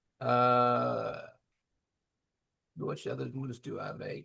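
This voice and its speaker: A man with a Memphis accent. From US South, Memphis. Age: 70s. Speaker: bakery owner. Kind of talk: interview. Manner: halting.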